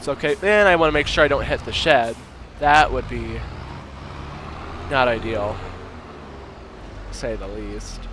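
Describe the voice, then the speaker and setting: Big swings in loudness mark a man's speech at a moderate pace, with long, frequent pauses. Noticeable background noise is audible. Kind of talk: gameplay commentary. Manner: casual, joking.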